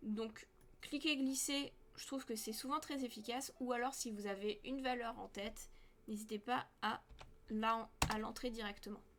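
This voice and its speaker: With long, frequent pauses, a woman speaks at a fairly slow pace. Her voice is fairly high with fairly even intonation. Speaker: 3D modeling teacher. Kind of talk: tutorial.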